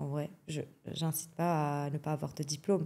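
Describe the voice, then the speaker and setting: In a very clean recording with a silent background, a woman with a Lebanese accent speaks fairly slowly in a dark, mellow tone. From Lebanon. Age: young. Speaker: athletics coach. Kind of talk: podcast interview. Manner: frequent hesitations (euh).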